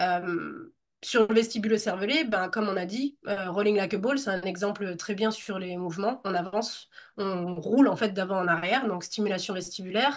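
A woman speaks in an ordinary speaking voice at a moderate pace, her medium pitch showing ordinary variation. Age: 30s. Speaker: Pilates teacher. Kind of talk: interview.

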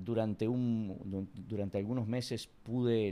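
A man speaks in a fairly low pitch with a dark, mellow tone and fairly even intonation. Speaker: comedian and history teacher. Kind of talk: casual interview.

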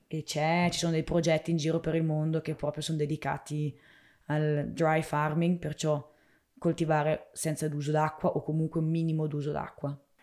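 A woman with a very deep, low pitch and a dark, mellow tone speaks at a moderate pace in a monotone, flat way, in a very clean recording with a silent background. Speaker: vegetable farmer. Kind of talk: interview. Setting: on the family farm.

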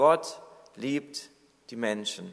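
This man's voice has a warm tone. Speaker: preacher. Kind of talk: sermon. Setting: church. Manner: earnest, warm and reassuring, pastoral tone; measured, exhorting the congregation directly.

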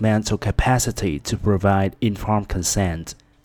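In a very clean recording with a silent background, the voice has a dark, mellow tone, a moderate pace, and ordinary pitch variation. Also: man. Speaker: podcast host teaching English vocabulary. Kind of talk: tutorial.

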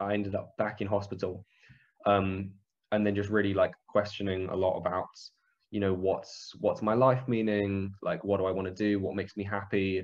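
A man with a London accent, fairly low in pitch, with monotone, flat intonation at a moderate pace. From northwest London, England. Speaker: podcast guest. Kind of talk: casual interview chat. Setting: phone or video call.

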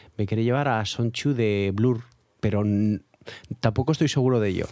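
A man with a normal speaking voice at medium pitch and a moderate pace, with ordinary pitch variation and big swings in loudness, in a very clean recording with a silent background. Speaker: music podcast co-host. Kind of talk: casual chat.

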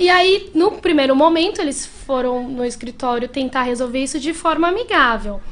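With hardly any pauses, a woman speaks at a high pitch and moderate pace, her intonation lively, over noticeable background noise. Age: 30s. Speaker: lawyer. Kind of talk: interview.

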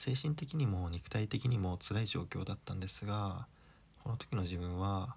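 A man talks at a moderate pace in a somewhat breathy voice with ordinary pitch variation. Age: 30s. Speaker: solo podcaster. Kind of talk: casual monologue.

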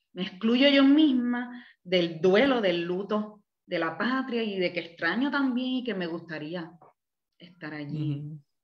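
Audible room echo surrounds a woman who speaks at a fairly slow pace with very wide pitch swings. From Cuba, Havana. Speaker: therapist and counselor. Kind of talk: interview.

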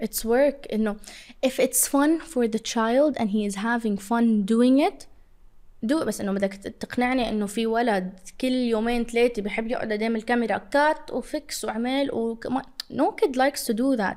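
At a moderate pace, a woman talks in an unremarkable speaking voice that sits fairly high. Her pitch varies an ordinary amount. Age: 20s. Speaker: social media influencer. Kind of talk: casual interview.

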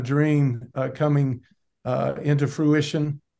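A man speaks at a fairly slow pace in a fairly high pitch, with an ordinary speaking voice and a quiet background. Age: 60s. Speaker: pastor. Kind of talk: interview.

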